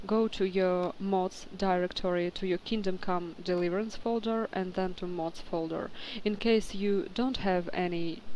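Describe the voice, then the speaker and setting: Speaking at a fairly slow pace, a woman with a non-native accent holds a medium pitch. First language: not English. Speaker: game modder. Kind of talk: tutorial. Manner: halting, many fillers.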